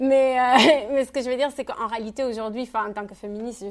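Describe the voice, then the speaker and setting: At a very fast pace, a woman talks with a Spanish accent. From Spain, Catalonia. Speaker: feminist activist, speaker. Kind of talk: Q&A answer at public talk. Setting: public conference hall. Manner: halting, many fillers.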